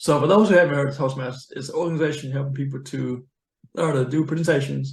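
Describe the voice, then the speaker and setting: The voice carries an American accent. It sounds somewhat breathy. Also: man. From US South. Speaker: accounting professional, money coach. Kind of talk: interview conversation. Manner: slurred.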